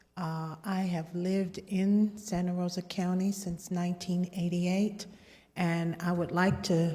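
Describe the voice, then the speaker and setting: A soft-spoken woman with a dark, mellow tone and a fairly low pitch talks at a fairly slow pace in a monotone, flat intonation, sounding somewhat breathy. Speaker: public commenter. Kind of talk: public comment. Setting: public meeting, board room. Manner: halting. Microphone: too far from mic at first.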